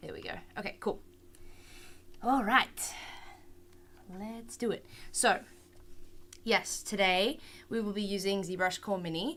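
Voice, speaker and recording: Bright and sharp in tone, a woman with an Australian accent speaks fairly slowly with long, frequent pauses. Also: medium pitch for a woman, ordinary pitch variation, big swings in loudness. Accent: Australian, some. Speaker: 3D art instructor. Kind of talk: online class tutorial. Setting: live stream. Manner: casual, hesitant with many fillers.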